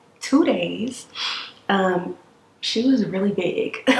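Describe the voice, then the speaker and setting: A woman speaks at a medium pitch with ordinary pitch variation, and noticeable background noise can be heard. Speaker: vlogger. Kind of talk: casual chat. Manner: soft-spoken. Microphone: too quiet.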